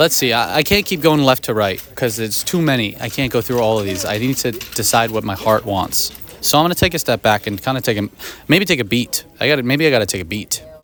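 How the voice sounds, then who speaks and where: Over noticeable background noise, a man with an American accent speaks very fast at a medium pitch with lively intonation. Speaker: movie vlogger. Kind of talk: casual vlog. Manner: animated.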